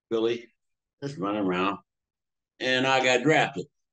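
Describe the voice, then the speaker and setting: With a Pittsburgh accent, a man speaks at a medium pitch with ordinary pitch variation. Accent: Western Pennsylvania (Pittsburgh) English. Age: 70s. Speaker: retired paramedic. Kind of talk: interview. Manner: halting.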